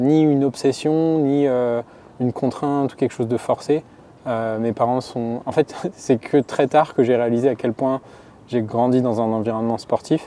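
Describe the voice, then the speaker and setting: The tone is dark and mellow, with fairly even intonation at a moderate pace. The sound is dry and close, with no echo. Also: man, medium pitch for a man. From France, Haute-Savoie (Annecy). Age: 30s. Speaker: trail runner and engineer. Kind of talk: interview. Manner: halting.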